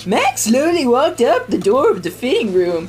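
In a put-on character voice with a fairly high pitch and very wide pitch swings, the speaker goes at a moderate pace over clear background noise. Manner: narrating.

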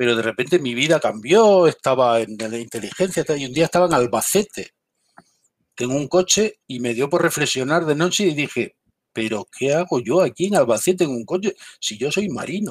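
A man's ordinary speaking voice, fairly high in pitch, at a moderate pace with lively intonation and a dry, close sound with no echo. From Galicia, Spain. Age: 50s. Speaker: military intelligence veteran. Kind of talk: interview.

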